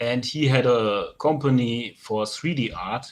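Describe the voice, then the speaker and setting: A man's medium-pitched voice with a German accent. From Germany, Rhineland. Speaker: sculptor. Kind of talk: interview. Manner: halting.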